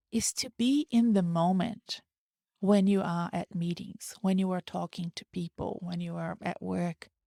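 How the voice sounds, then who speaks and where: A woman with a Portuguese accent speaks at a fairly slow pace. The recording is very clean with a silent background and a dry, close sound with no echo. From Brazil. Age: 40s. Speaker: career coach, podcast host. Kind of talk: solo podcast monologue. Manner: casual, conversational.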